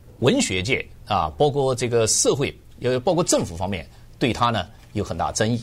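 The speaker talks at a fairly slow pace with vocal fry. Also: man. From Jiangsu, China (Zhenjiang, born Changzhou). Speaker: author and researcher. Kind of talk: radio interview. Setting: radio studio.

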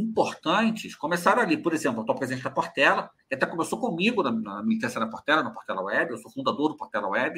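A man speaks at a very fast pace with hardly any pauses, his fairly high pitch swinging very widely. His tone is bright and sharp, with vocal fry and big swings in loudness. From Rio de Janeiro, Brazil (Cascadura, north zone). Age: 40s. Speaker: carnival journalist and commentator. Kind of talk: casual interview chat. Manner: halting, frequent repetitions.

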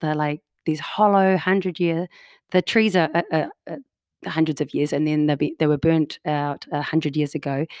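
This woman has a fairly low pitch and a New Zealand accent, speaking at a moderate pace with ordinary pitch variation. The sound is dry and close with no echo, in a very clean recording with a silent background. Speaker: improv performer, homeschooling parent. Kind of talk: casual interview chat. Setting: in-person, same room as host.

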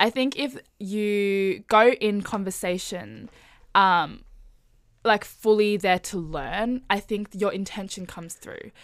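In a very clean recording with a silent background, a woman with an Australian accent speaks very slowly, with ordinary pitch variation and big swings in loudness. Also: medium pitch for a woman. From Melbourne, Australia. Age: 20s. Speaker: podcast guest. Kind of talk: casual chat.

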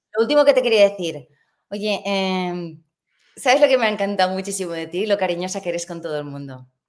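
Against a silent background on a very clean recording, a woman with an ordinary speaking voice talks at a fairly quick pace and medium pitch, with lively intonation and big swings in loudness. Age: 50s. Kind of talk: interview.

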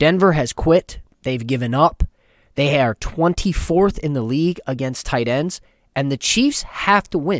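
Fairly slow speech from a man with a fairly high pitch and ordinary pitch variation, an unremarkable speaking voice in a very clean recording with a silent background. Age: 40s. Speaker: sports podcast host. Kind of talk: casual chat.

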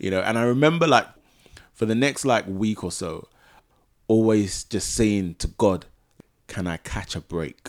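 A man with a London accent, fairly low in pitch, at a fairly slow pace with long, frequent pauses and lively intonation. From Ghana. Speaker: podcast host. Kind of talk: casual chat.

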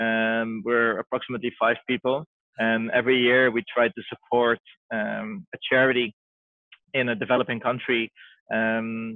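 With a Dutch accent, a man speaks in fairly even intonation. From Netherlands, Amsterdam. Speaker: health entrepreneur. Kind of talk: interview. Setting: video call. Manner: halting.

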